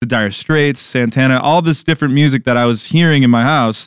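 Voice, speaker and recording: A man talks at a fairly quick pace with a medium pitch. His is a plain, everyday voice with fairly even intonation. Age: 20s. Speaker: guitarist. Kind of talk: interview.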